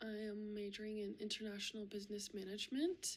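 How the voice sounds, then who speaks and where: The voice is somewhat breathy. It moves along at a moderate pace. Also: woman. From US (Florida and Oklahoma), Russian-speaking family. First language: Russian. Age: 20s. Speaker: university student. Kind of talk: self-introduction video. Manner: hesitant, many fillers.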